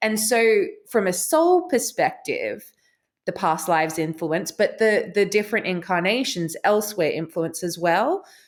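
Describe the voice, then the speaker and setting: With an Australian accent and lively intonation, the speaker moves at a fairly slow pace on a very clean recording with a silent background. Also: woman, medium pitch for a woman. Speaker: author and spiritual teacher. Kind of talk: casual chat.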